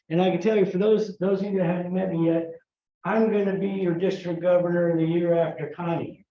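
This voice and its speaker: In audible room echo, a man with an American accent talks at a fairly quick pace in a high pitch, with monotone, flat intonation. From US South, San Antonio, Texas. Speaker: Rotary district governor-elect, presenter. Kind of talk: conference talk.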